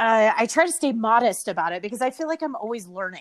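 On a very clean recording with a silent background, a woman with an American accent speaks at a fairly quick pace, her fairly high pitch moving in very wide swings. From Texas. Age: 40s. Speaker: hospitality entrepreneur. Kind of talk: casual interview chat.

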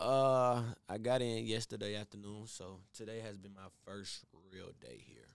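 A man with an American accent and a plain, everyday voice, fairly low-pitched, at a moderate pace with big swings in loudness. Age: 20s. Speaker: singer. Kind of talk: casual chat.

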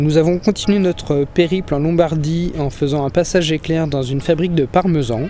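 Over noticeable background noise, the speaker keeps a moderate pace with fairly even intonation and hardly any pauses. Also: man, fairly high pitch for a man. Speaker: travel podcaster. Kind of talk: travel narration.

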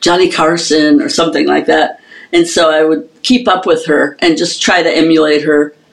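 A woman with fairly low pitch, ordinary pitch variation, very even loudness and moderate pace, with noticeable background noise. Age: old. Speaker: drummer and drum instructor. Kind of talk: casual interview.

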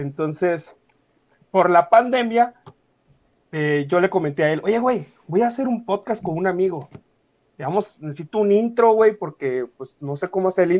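With long, frequent pauses, a man speaks at a moderate pace in a high pitch and lively intonation. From Mexico, Querétaro. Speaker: podcaster, guest. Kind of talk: casual chat.

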